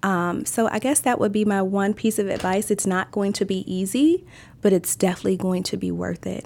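An ordinary speaking voice from a woman with an American accent, medium pitch, ordinary pitch variation, and a fairly quick pace, in a very clean recording with a silent background. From Maryland. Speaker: restaurant owner. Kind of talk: interview.

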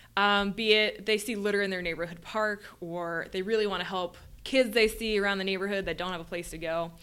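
A medium-pitched female voice at a very fast pace, its pitch varying in an ordinary way. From Louisiana. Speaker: volunteer coordinator. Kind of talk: interview. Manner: frequent filler words.

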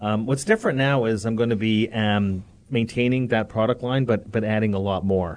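Against a quiet background, a man with a Canadian accent speaks at medium pitch with fairly even intonation and very even loudness. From Canada. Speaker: economist. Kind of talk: interview. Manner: fast talker.

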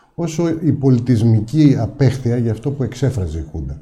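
Somewhat breathy and dark, mellow in tone, a man speaks at a moderate pace. His intonation is lively. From Greece, Ikaria. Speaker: businessman and parliamentary candidate. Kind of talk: political interview.

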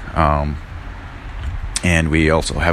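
With audible room echo and noticeable background noise, a man speaks fairly slowly in a very deep, low pitch. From US Midwest, northern Wisconsin (Red Cliff). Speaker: chef and punk bassist. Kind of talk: interview. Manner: hesitant, many fillers.

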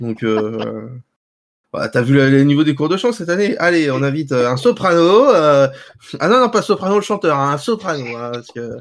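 At a moderate pace, a man talks at a fairly high pitch with very wide pitch swings. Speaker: media pundit. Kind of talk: casual panel discussion.

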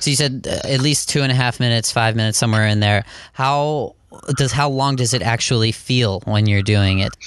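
With an ordinary speaking voice at medium pitch, a man talks at a fairly quick pace and very even loudness against a quiet background. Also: fairly even intonation. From western Pennsylvania. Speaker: podcast host. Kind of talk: interview.

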